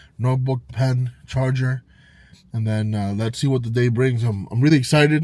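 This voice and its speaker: The tone is animated and the delivery fairly quick, in an American accent. Noticeable background noise sits behind the speech. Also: man. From Illinois, Chicago suburbs (Round Lake). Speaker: vlogger. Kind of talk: casual vlog narration. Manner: casual, animated.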